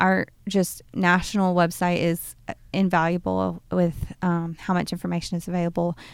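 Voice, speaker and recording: This woman talks in a monotone, flat way with a Southern US accent. Her fairly low voice moves at a moderate pace with hardly any pauses. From US South, Birmingham, Alabama. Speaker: nonprofit executive director. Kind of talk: interview. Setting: studio.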